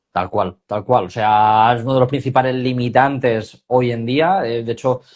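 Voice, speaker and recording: This is a man with a medium pitch. He speaks at a fairly slow pace. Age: 30s. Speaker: personal trainer for back pain. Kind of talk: casual interview on livestream. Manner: hesitant, with fillers.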